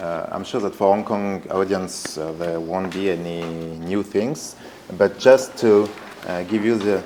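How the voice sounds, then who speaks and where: Through noticeable background noise, a man with a strong French accent speaks at a fairly slow pace and a fairly low pitch. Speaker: art foundation director, former artist's assistant. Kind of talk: presentation talk. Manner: hesitant, many fillers.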